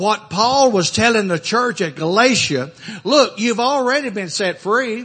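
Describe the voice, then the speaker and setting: Over noticeable background noise, a high-pitched man with an American accent sounds animated, speaking fairly slowly with lively intonation. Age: 70s. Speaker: pastor. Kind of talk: sermon. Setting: church. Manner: informal, humorous.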